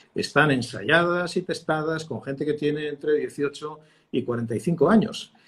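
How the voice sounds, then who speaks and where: Fairly high in pitch with ordinary pitch variation, this man talks at a moderate pace. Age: 60s. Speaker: communication expert, former broadcast journalist. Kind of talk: interview. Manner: hesitant, many fillers and repetitions.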